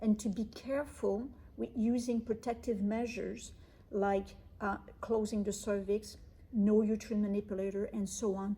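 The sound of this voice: The woman's voice has a dark, mellow tone.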